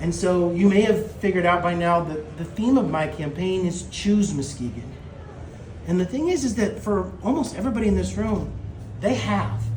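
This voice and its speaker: Loud and high-pitched, a man speaks at a moderate pace with very wide pitch swings, with audible room echo and noticeable background noise. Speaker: mayoral candidate. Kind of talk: campaign speech. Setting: campaign kickoff event with live audience. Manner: loud, projecting to the room; halting, repeats words.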